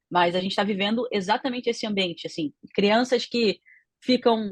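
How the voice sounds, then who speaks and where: At a moderate pace, a woman speaks at medium pitch with ordinary pitch variation, the sound dry and close with no echo. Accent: Rio de Janeiro. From Rio de Janeiro, Brazil. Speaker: panel commentator. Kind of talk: radio panel debate.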